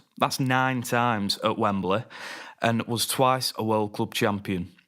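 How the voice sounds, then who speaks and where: A man with a Lancashire accent speaks at a medium pitch and a moderate pace with fairly even intonation. The recording is very clean, with a silent background. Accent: Wigan. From northern England, Wigan. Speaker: podcast host. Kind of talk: casual chat.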